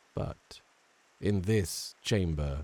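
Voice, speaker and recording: With a very deep, low pitch, a man speaks in a dark, mellow tone that is somewhat breathy, with ordinary pitch variation. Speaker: voice actor. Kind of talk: horror audiobook narration.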